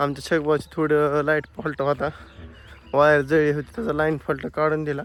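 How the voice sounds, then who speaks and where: The recording is very clean, with a silent background. A man talks at a fairly high pitch with fairly even intonation. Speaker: farmer vlogger. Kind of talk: casual vlog.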